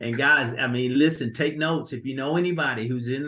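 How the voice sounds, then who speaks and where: Bright and sharp in tone, a man speaks in an animated way. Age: 60s. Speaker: financial business group leader. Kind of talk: online group meeting talk. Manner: animated, repetitive stammering.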